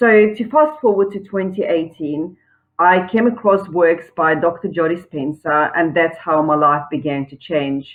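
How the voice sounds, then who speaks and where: Fairly slow speech in a South African accent, with ordinary pitch variation and big swings in loudness. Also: woman, fairly low pitch for a woman. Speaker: online entrepreneur. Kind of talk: personal testimony pitch.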